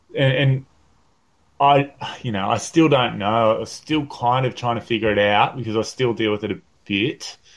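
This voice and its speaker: A man with an Australian accent speaks at a medium pitch and a moderate pace, his pitch varying in an ordinary way. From northern New South Wales, Australia. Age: 30s. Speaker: professional bodyboarder. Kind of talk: casual interview chat. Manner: halting, many fillers; relaxed.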